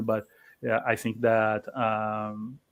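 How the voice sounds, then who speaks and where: Here a man with a Portuguese accent speaks at a very slow pace. His pitch is medium, and the recording is very clean with a silent background. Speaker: writer. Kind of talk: panel discussion. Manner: halting.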